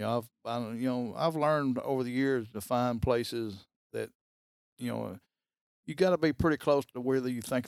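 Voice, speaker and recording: A man with an Alabama accent is heard on a very clean recording with a silent background. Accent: US Southern (Alabama). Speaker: hunter. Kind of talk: casual interview. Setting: trophy room.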